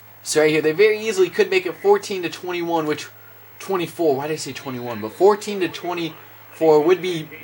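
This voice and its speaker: A man talks at a fairly quick pace in a high pitch with ordinary pitch variation and big swings in loudness, over noticeable background noise. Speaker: gaming commentator. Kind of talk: gameplay commentary. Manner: self-described awkward delivery.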